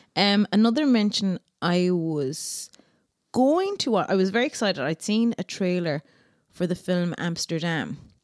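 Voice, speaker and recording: With an Irish accent and lively intonation, a woman speaks at a medium pitch and a moderate pace, the sound dry and close with no echo on a very clean recording with a silent background. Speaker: podcast co-host. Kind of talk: casual chat.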